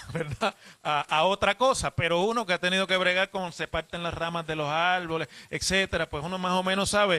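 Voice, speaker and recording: At a fairly quick pace, a bright, sharp tone comes through dry and close with no echo. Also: man, high pitch for a man. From Puerto Rico. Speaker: radio host. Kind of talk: radio interview. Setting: hotel lobby remote broadcast.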